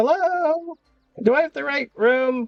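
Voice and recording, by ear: The speaker puts on a high-pitched character voice. The pace is fairly slow.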